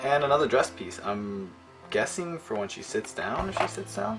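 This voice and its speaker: The speech moves at a moderate pace. Music plays clearly in the background. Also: man. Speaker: figure reviewer. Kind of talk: casual review commentary. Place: home room. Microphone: phone near.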